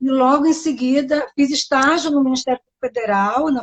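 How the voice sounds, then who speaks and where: The sound is dry and close, without echo. It carries a woman's high-pitched voice. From Brazil, Bahia. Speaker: public defender. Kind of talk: interview. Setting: live stream.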